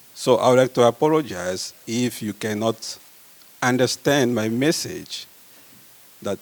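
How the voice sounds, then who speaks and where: Against noticeable background noise, a man with a Congolese accent talks at a fairly slow pace in medium pitch with ordinary pitch variation. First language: French. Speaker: medical researcher. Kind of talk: conference talk.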